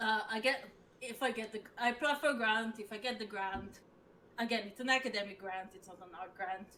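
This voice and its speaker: Speaking with a strong Israeli accent, a woman uses a bright, sharp tone and fairly even intonation. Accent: thick Israeli. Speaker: assistant professor, game designer. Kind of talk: casual interview chat. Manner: halting, many fillers.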